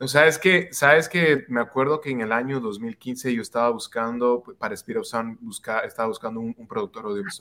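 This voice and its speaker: At a fairly quick pace, this bright, sharp voice swings widely in loudness while keeping ordinary pitch variation. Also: man, medium pitch for a man. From Quito, Ecuador. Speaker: music producer and artist. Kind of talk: casual interview. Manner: halting, repeats words.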